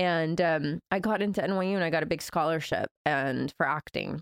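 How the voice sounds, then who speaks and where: A woman with an American accent speaks in a normal speaking voice, her fairly low pitch captured in a dry, close sound with no echo. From US South, Georgia. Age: 30s. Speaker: author and coach. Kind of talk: casual interview.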